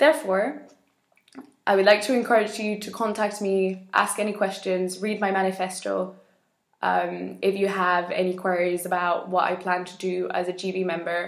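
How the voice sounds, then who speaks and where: A woman's medium-pitched voice with vocal fry, at a fairly slow pace, in a quiet background with audible room echo. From Spain, Madrid. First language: Spanish. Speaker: election candidate in a youth organisation; election candidate. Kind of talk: campaign video statement. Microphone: webcam.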